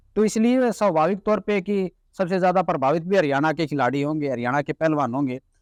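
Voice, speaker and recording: Against a quiet background, a man speaks with lively intonation in a dry, close sound with no echo. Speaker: journalist. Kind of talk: interview conversation.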